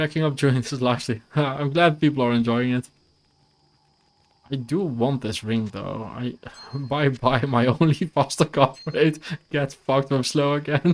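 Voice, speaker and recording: A fairly high-pitched man with a Dutch accent, fairly slow and fairly even in intonation. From Netherlands, near Belgian border. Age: 30s. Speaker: video game streamer. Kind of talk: casual gameplay live stream chat.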